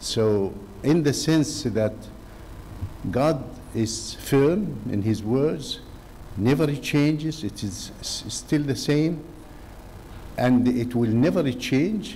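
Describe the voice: A man's slow, medium-pitched voice, dark and mellow in tone, with lively intonation.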